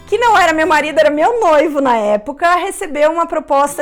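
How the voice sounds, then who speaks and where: A voice with a Brazilian accent and ordinary pitch variation, over music in the background. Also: woman. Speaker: YouTuber. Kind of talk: Q&A vlog. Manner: casual.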